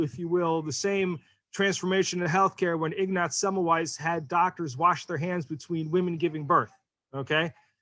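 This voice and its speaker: A man talks with an American accent and a high pitch. The recording is very clean, with a silent background. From New York. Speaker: venture capital investor. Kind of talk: panel discussion.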